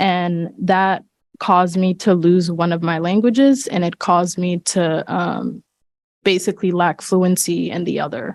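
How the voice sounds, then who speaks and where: A woman's fairly low voice, fairly slow, with ordinary pitch variation. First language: not English. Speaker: school board member. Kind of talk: public meeting discussion. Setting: board meeting, partly on Zoom. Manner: halting.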